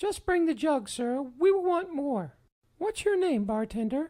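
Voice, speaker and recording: In a put-on character voice, a woman speaks at a moderate pace, shrill and high-pitched, with very wide pitch swings. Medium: read story. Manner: blunt, loud.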